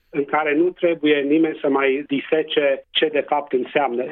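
A fairly high-pitched man with a Transylvanian accent, fairly slow and monotone, with flat intonation and very even loudness. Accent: Transylvanian Romanian. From Transylvania, Romania. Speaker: public health doctor. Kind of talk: radio interview.

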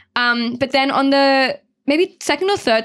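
With an Australian accent, a woman talks in very wide pitch swings. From Sydney, Australia (Mount Druitt). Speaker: journalist. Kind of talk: casual chat.

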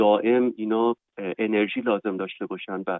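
Keeping his intonation fairly even, a man talks in a medium pitch. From Iran, Tehran. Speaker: university professor and researcher. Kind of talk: interview. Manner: halting.

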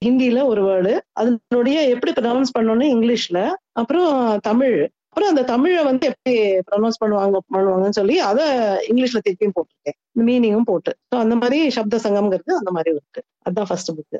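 A woman's fairly high, dark and mellow voice carries lively intonation at very even loudness, with a dry, close sound and no echo. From North India (Agra, Punjab, Delhi), Tamil family from Tirunelveli. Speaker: translator and author. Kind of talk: interview.

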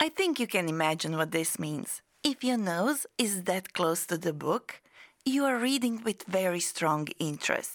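At a fairly slow pace, a woman with a medium pitch makes very wide pitch swings at very even loudness, on a very clean recording with a silent background. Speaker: podcast host and English teacher. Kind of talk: scripted educational podcast. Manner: clear, slow, teaching-style.

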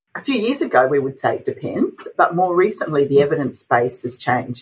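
An Australian accent comes from this woman. She speaks at a fairly quick pace. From Australia, Adelaide. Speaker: dietitian. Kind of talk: interview.

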